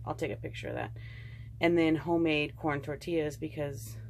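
Light background noise sits behind a female speaker who talks at a moderate pace. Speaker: vlogger. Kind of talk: casual vlog chat. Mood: relaxed, chatty. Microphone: phone near.

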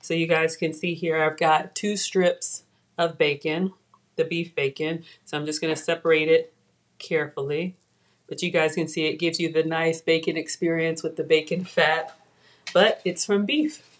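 With an American accent, the speaker goes at a moderate pace in a monotone, flat intonation against a quiet background. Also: woman, fairly low pitch for a woman. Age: 40s. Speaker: cooking show host. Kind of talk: live cooking stream. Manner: casual, chatty. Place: kitchen. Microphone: webcam.

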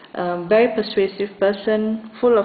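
Her words come out very slowly. The woman keeps a fairly even intonation throughout. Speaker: tarot reader. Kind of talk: tarot reading to camera. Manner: hesitant, many fillers.

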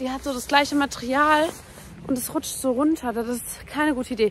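A fairly quick pace over light background noise, with a dry sound and no echo. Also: woman. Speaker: vlogger. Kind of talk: casual vlog chat. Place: street. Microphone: phone near.

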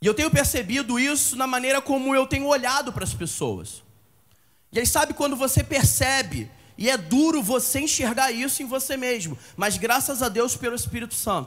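The speaker is a man with an extremely high pitch and ordinary pitch variation. He talks at a moderate pace. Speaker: preacher. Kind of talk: sermon, preacher in full flow, fervent exhortation to a congregation. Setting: church. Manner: animated, fervent, emphatic, driving points home with repetition. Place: church. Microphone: handheld.

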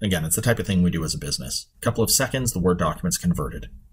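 With lively intonation, a man speaks with vocal fry. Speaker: conference presenter. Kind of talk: software demo tutorial. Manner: fast.

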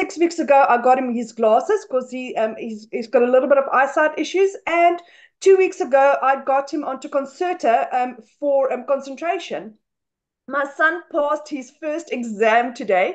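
A woman with a South African accent and lively intonation, in a quiet background. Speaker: stay-at-home mother; webinar guest. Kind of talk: testimony. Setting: video call. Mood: emotional, proud, grateful. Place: home room. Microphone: webcam.

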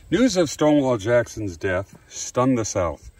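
A man talks at a moderate pace with very wide pitch swings. His voice is somewhat breathy, and the sound is dry with no echo. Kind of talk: reading aloud with brief commentary. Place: open country. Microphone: phone near.

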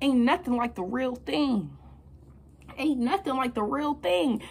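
At a moderate pace, a woman speaks in a high pitch with very wide pitch swings. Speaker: motivational speaker. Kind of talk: motivational talk to camera. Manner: casual, energetic. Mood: confident, motivational. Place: home room. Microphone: phone near.

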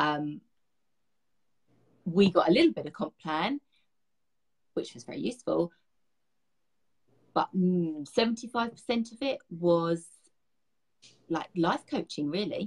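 Against a quiet background, a woman with a British accent speaks very slowly at a fairly low pitch with lively intonation. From London, England. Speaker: beauty direct sales guide. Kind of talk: interview answer. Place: home room. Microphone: video call.

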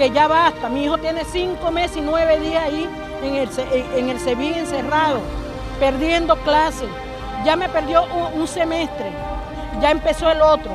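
Clear music plays behind a woman who speaks at a moderate pace with long, frequent pauses. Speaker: mother of a detained student. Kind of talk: public statement to press. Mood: indignant, pleading. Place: street. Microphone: handheld.

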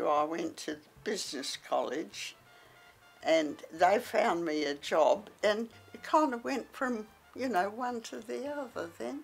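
Very slowly, a woman with an Australian accent speaks in very wide pitch swings, with music in the background. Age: 80s+. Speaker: retired model and office worker. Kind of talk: interview. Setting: at home.

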